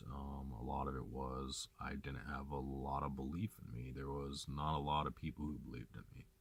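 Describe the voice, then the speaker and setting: A man speaks in a very deep, low voice with vocal fry. His intonation stays fairly even, with hardly any pauses. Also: moderate pace. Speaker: vlogger and hiker. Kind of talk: personal vlog monologue. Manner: halting, stumbling over words.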